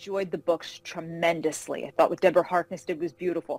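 In a New York accent, a woman talks in a monotone, flat intonation. Her pitch is fairly low. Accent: New York area American. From New York (Carmel, outside Manhattan). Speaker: fantasy novelist. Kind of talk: interview. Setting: call.

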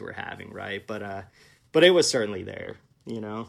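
Speaking in a plain, everyday voice, a man keeps a medium pitch with ordinary pitch variation. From Kansas City, US Midwest. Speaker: film director. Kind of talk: casual interview. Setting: video call.

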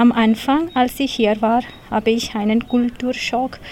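A woman speaks at a very slow pace with a fairly high pitch and fairly even intonation. Noticeable background noise is present. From India, Kerala. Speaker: language course participant. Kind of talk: reading aloud.

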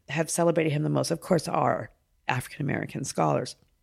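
Her pitch is very deep and low for a woman, with vocal fry. She talks at a very fast pace. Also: very clean recording, silent background. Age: 50s. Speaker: poet. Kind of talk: casual chat. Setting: hotel room.

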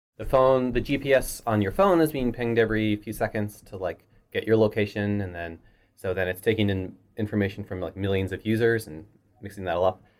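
A man speaks in a normal speaking voice, fairly low in pitch, with ordinary pitch variation and big swings in loudness. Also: fairly quick pace. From Canada, Halifax. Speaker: software engineer. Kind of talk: interview. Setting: office.

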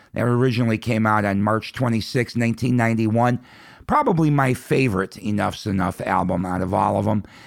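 At a moderate pace and medium pitch, a man speaks in a relaxed tone with ordinary pitch variation and very even loudness. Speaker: radio host. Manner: relaxed, friendly, conversational; upbeat, enthusiastic about rock music.

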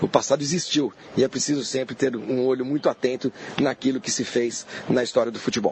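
With noticeable background noise, a man speaks at a fairly quick pace in a medium pitch and a monotone, flat intonation. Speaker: football fan and commentator. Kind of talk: casual chat.

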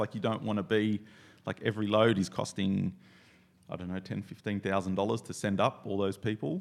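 A man speaks in an Australian accent at a moderate pace. His pitch sits fairly low. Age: 40s. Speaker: coffee roaster and skydiver. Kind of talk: casual chat.

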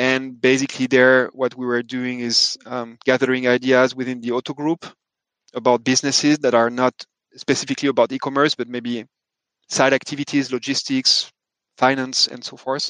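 In a French accent, a man talks at a medium pitch and a moderate pace. His intonation is monotone and flat, and the sound is dry and close with no echo. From France. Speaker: sustainability tech founder. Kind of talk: interview.

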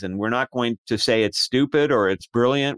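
A normal speaking voice with an American accent moves at a moderate pace and lively intonation, recorded dry and close with no echo in a very clean recording with a silent background. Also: man. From US. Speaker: author and astrologer. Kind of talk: interview.

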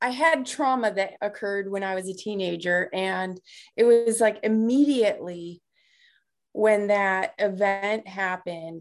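A woman with a plain, everyday voice and an American accent, medium in pitch, with ordinary pitch variation, at a fairly slow pace. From US Midwest, south side of Chicago. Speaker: life coach, author, navy veteran. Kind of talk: interview.

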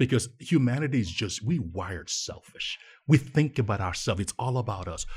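Somewhat breathy and fairly quick, this man's medium-pitched voice moves with lively intonation. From Nigeria. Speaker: nonprofit co-founder. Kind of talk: interview. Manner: animated.

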